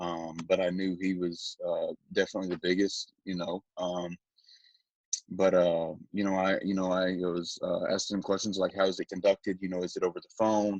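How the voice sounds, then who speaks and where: In a dry, close recording with no echo, a man with a Southern US accent speaks at a moderate pace. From Alabama. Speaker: sports recruiting social media commentator. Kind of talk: podcast interview. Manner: hesitant, many fillers.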